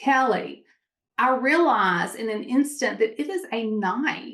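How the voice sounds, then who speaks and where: A woman with a Mississippi accent talks with lively intonation. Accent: Southern US (Mississippi). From Mississippi, US South. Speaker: entrepreneur. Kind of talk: interview storytelling. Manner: animated.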